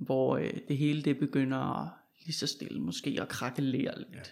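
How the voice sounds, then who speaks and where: Very slowly, a man speaks in a dark, mellow tone. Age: young. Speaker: podcast host. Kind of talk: interview conversation.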